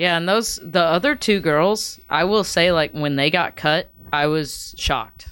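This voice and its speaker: Featuring an unremarkable speaking voice, a woman speaks at a fairly slow pace and fairly low pitch, with ordinary pitch variation and very even loudness. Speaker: singer-songwriter. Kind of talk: casual chat.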